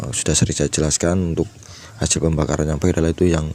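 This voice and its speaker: A very deep, low male voice comes through noticeable background noise. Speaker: motorcycle mechanic. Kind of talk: tutorial. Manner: hesitant, many fillers.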